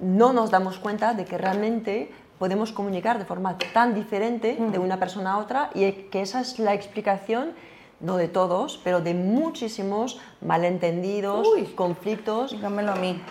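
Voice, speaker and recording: A woman speaks at a medium pitch. Her pace is moderate and her pitch varies in an ordinary way. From France. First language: French (speaking Spanish). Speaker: communication coach. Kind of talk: interview. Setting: studio. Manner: halting, with many repetitions.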